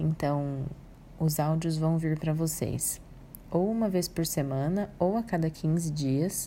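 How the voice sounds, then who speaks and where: A woman speaks at a very slow pace in a very deep, low pitch with ordinary pitch variation. Her tone is dark, mellow and calm. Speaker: psychologist. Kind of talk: audio talk on emotional wellbeing.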